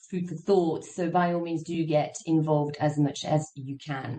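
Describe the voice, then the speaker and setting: A woman talks in an ordinary speaking voice, pitched fairly low. Her pace is moderate and her intonation fairly even. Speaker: moderator. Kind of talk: panel moderation. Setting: video call.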